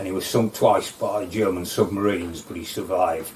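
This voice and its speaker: With a North Lincolnshire accent, a man speaks at a fairly low pitch and with fairly even intonation over noticeable background noise. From North Lincolnshire, England. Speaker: local history interviewee. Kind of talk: oral history storytelling. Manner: halting, with many fillers.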